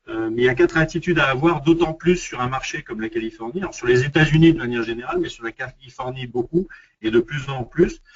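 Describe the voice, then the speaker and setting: A man with a fairly high pitch speaks very fast in a somewhat breathy voice, with ordinary pitch variation and big swings in loudness. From France. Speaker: international business development consultant. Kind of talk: webinar presentation. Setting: online webinar. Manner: halting, many fillers and repetitions.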